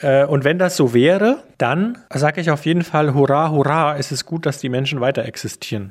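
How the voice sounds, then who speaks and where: With a normal speaking voice, a man talks at a moderate pace with hardly any pauses, a fairly high pitch and ordinary pitch variation, on a very clean recording with a silent background. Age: 40s. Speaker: radio journalist, podcast co-host. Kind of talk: casual chat.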